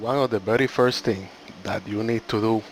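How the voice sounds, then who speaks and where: There is noticeable background noise as a man speaks at medium pitch. He has a non-native accent. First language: not English. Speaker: gaming YouTuber. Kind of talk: game tutorial. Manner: slightly halting.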